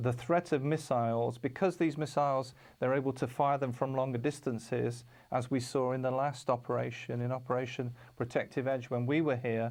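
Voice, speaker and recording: A man with a British accent at a medium pitch, moderate pace, and monotone, flat intonation, against a quiet background. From United Kingdom. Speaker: TV programme presenter. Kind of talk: TV presentation. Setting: studio. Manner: halting, many fillers.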